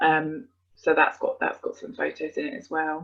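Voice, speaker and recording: The voice belongs to a woman. She speaks in a British accent. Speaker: adoptive parent. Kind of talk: webinar talk. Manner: hesitant, many fillers.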